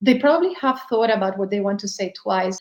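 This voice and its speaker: Speaking with a Spanish accent, a woman uses a fairly high pitch. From Spain. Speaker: business leader. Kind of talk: podcast monologue.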